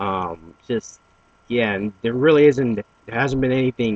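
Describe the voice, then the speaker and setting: A man's voice with ordinary pitch variation, dry and close with no echo. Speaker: anime news vlogger. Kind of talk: casual commentary vlog. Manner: halting, many fillers and restarts.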